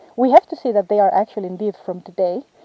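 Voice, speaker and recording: With a non-native accent, a woman speaks at a moderate pace in a fairly high pitch with ordinary pitch variation. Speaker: field ecologist. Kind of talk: field vlog tutorial. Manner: halting.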